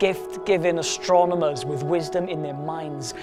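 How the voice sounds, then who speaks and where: Music plays behind a man who keeps a moderate pace. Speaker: spoken word poet. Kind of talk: spoken word poetry performance, rhythmic rhyming verse.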